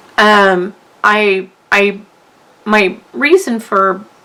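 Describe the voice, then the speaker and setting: A woman with a medium pitch and fairly even intonation talks over noticeable background noise. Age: 60s. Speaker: craft youtuber. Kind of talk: tutorial. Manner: halting.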